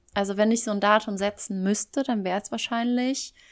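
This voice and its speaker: This very clean recording has a silent background. A woman speaks with a fairly high pitch and fairly even intonation. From German-speaking Belgium. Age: 20s. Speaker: podcast co-host. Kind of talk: casual chat. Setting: long-distance call.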